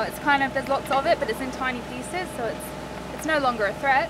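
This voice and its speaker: A woman is speaking. The sound is dry with no echo, though background noise is noticeable. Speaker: boat vlogger. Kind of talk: casual vlog chat. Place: boat. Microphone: phone near.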